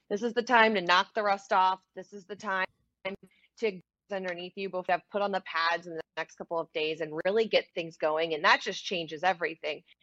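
A woman of medium pitch with a bright, sharp tone speaks at a fairly quick pace, with ordinary pitch variation and big swings in loudness, recorded dry and close with no echo. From Louisiana, New Orleans. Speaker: sports reporter. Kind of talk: casual chat.

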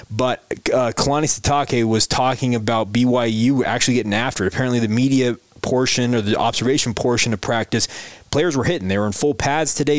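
Fairly quick and fairly even in intonation, a normal speaking voice holds very even loudness. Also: man, medium pitch for a man. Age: 30s. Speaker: sports podcast host. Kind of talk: daily sports podcast monologue.

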